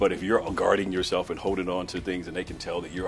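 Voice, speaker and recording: Music plays in the background as a man with a very deep, low pitch talks at a very fast pace. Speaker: keynote speaker. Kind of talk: interview answer.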